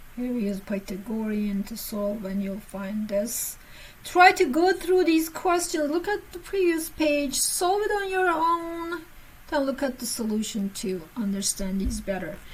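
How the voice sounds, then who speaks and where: Amid audible room echo, a woman speaks fairly slowly in a high voice with very wide pitch swings. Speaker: physics teacher. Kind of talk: lecture.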